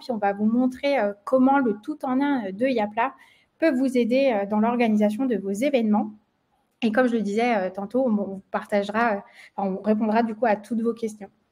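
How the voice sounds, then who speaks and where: A woman's fairly high voice carries a dark, mellow tone and ordinary pitch variation. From France. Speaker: marketing manager, webinar presenter. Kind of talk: webinar presentation. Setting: online webinar. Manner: many filler hesitations (euh, bah).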